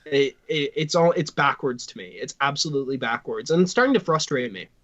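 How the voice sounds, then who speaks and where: A man speaks at a fairly high pitch and a fairly quick pace. His intonation is lively. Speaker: sports podcast co-host. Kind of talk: casual chat. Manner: loud.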